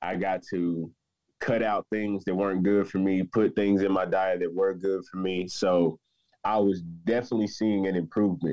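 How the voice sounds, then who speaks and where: The man's very deep, low pitch comes with fairly even intonation, delivered at a moderate pace. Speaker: patient sharing story. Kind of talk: personal testimony interview.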